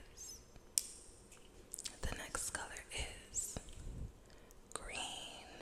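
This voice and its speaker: A woman whispers while noticeable noise fills the background. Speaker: ASMR artist. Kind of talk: ASMR affirmations. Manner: whispered, soft-spoken.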